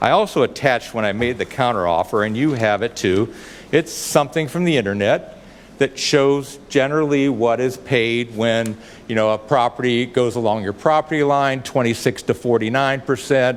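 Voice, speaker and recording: Over noticeable background noise, a man with a medium pitch speaks at a moderate pace, his pitch varying in an ordinary way. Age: 70s. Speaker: public commenter, property owner. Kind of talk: public comment at council meeting. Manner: formal, argumentative.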